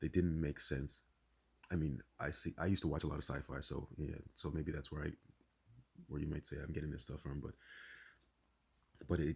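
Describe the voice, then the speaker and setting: With a very deep, low pitch and vocal fry, a man talks at a fairly quick pace in a monotone, flat way, leaving long, frequent pauses. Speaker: spiritual vlogger. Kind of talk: casual monologue. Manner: fast; halting.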